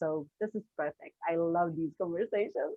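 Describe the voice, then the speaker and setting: A woman with a Slovene accent has a fairly low pitch. She talks at a moderate pace with ordinary pitch variation. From Slovenia. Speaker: business coach. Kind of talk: interview conversation. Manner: halting.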